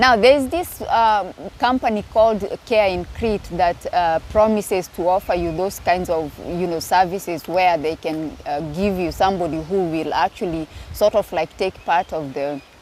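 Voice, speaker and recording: The speaker is a woman talking at a moderate pace. Her pitch varies in an ordinary way. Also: medium pitch for a woman. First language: not English. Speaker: YouTuber. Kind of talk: casual vlog talk. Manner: hesitant, many fillers.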